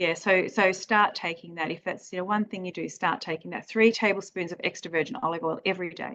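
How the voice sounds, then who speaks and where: A woman with an unremarkable speaking voice talks at a fairly quick pace and a medium pitch, with ordinary pitch variation and hardly any pauses. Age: 40s. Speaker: naturopath. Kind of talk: health advice interview.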